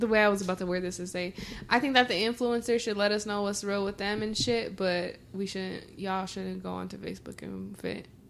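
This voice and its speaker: A woman with an American accent talks at a fairly quick pace with hardly any pauses, using a medium pitch and fairly even intonation in an unremarkable speaking voice. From Mexican American. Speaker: podcast co-host. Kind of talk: casual chat.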